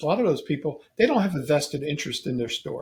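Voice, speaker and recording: At a moderate pace, the speaking comes out somewhat breathy. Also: man. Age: 70s. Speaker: game store owner. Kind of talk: casual chat.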